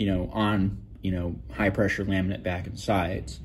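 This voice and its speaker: Light background noise sits behind a man speaking at a moderate pace. His pitch is fairly low, with ordinary variation. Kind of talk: tutorial. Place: workshop. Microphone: phone near.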